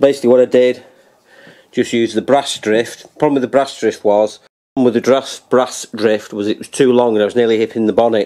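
The intonation of this man stays monotone and flat. He moves through his words at a fairly quick pace. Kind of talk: tutorial. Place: garage. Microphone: phone near.

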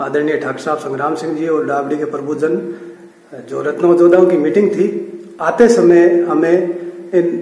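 A man's fairly high voice with ordinary pitch variation, fairly slow and broken by long, frequent pauses, in audible room echo. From Rajasthan. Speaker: YouTuber. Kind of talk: speech at community gathering. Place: hall. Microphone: phone near.

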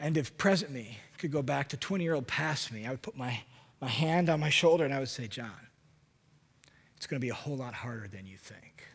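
A man speaks at a fairly quick pace with a fairly high pitch, lively intonation, a somewhat breathy voice, big swings in loudness and long, frequent pauses. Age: 40s. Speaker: preacher. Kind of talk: sermon. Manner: animated. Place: church. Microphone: headset.

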